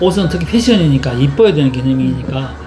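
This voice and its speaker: A man speaks at a fairly quick pace, his voice carrying audible room echo and noticeable background noise. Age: 60s. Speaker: sewing pattern maker and teacher. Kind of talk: casual chat.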